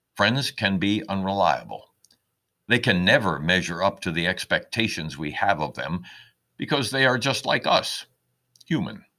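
A man with a fairly low pitch and a bright, sharp tone speaks at a moderate pace with lively intonation and long, frequent pauses, in a very clean recording with a silent background. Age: 70s. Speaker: retired lawyer and caregiver writing personal essays. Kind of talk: scripted narration. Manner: reflective, measured.

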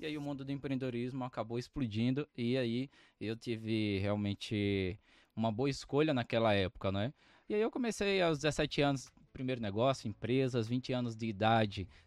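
Dry and close with no echo, a man speaks in a normal speaking voice at medium pitch and a moderate pace, with ordinary pitch variation. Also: quiet background. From Brazilian Northeast, Arapiraca (Alagoas). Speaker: author, mentor and entrepreneur. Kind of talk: casual interview chat.

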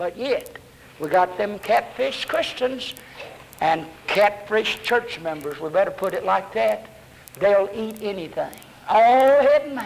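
Speaking fairly slowly with a strong Southern US accent, a man uses a high pitch and lively intonation against noticeable background noise. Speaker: Baptist preacher. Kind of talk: 1970s Baptist sermon, evangelistic preaching to a congregation. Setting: church with congregation. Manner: animated, fiery, exhorting with call-and-response; folksy, humorous, uses vivid fish illustrations.

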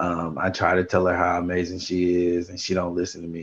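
Very deep and low, this man's voice carries a fairly quick pace. He keeps moving along briskly. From Houston / New Orleans, US South. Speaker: podcast co-host, former teacher. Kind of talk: casual chat. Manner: animated.

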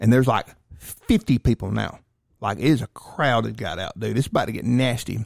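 With an American accent and vocal fry, a man speaks at a medium pitch and moderate pace with ordinary pitch variation, in a dry, close sound with no echo on a very clean recording with a silent background. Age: 40s. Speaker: firearms and self-defense instructor. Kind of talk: casual chat.

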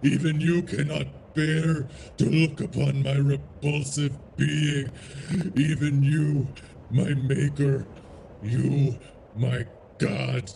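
Amid clear background noise, a man does a put-on character voice at a fairly high pitch, speaking at a very slow pace with long, frequent pauses. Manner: brooding, anguished, menacing.

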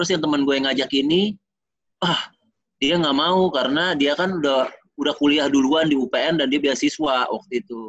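A man speaks in an unremarkable speaking voice, pitched fairly high. His pace is moderate and his pitch variation ordinary. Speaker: retired basketball player. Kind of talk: casual interview.

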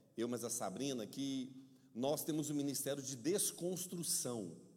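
An animated tone comes through with audible room echo. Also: man. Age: middle-aged. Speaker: pastor. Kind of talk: sermon. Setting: church.

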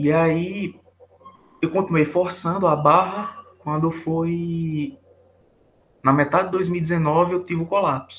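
Very slowly and with long, frequent pauses, a man speaks at a high pitch with fairly even intonation. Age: 20s. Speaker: engineering student, burnout patient. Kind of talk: testimony interview.

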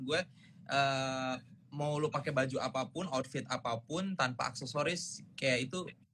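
With ordinary pitch variation, a man talks in a bright, sharp tone. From Indonesia. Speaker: singer. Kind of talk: casual chat. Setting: video call.

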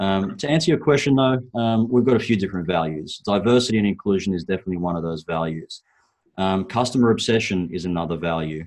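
With an Australian accent, this voice shows ordinary pitch variation. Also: man. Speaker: property investment strategist. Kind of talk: podcast interview.

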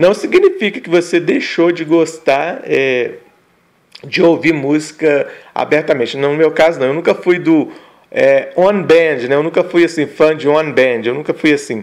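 A plain, everyday voice: a man speaking at a fairly slow pace. His pitch is fairly high, with ordinary variation. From northern Minas Gerais, Brazil. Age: 40s. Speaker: podcast co-host, father. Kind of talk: casual chat.

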